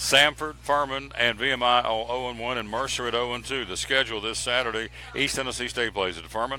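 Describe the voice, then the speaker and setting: Music plays behind a man who speaks fairly quickly at a medium pitch with fairly even intonation and hardly any pauses. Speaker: sports radio host. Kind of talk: sports show rundown of scores and schedules. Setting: live broadcast from a restaurant. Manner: loud.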